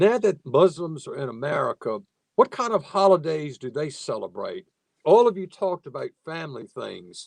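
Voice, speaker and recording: A man speaks at a moderate pace with a Southern US accent. The sound is dry and close, with no echo. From US South, Virginia (Nottoway County). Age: 60s. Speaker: moderator and professor. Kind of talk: webinar panel moderation. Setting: video call webinar.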